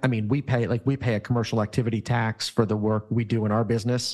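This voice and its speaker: A man with a normal speaking voice at a fairly quick pace. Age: 50s. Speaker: employment lawyer. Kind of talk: casual interview.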